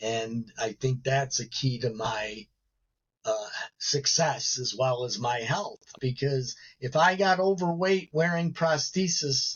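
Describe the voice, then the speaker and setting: Speaking very slowly with an American accent, a man sounds somewhat breathy and uses ordinary pitch variation. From Chicago south suburbs, US Midwest. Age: 60s. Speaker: paralympic gymnast and motivational speaker. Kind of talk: interview conversation. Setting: live online show.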